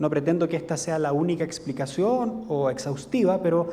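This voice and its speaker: Amid audible room echo, a man with a Chilean accent talks at a moderate pace, his high pitch carried by lively intonation. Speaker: legal scholar. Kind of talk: lecture. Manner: halting, many fillers.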